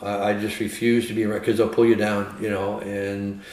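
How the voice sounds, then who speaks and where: A man's fairly low, fairly even-toned voice against noticeable background noise. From San Francisco Bay Area. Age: 70s. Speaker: retired professional bowler. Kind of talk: casual chat.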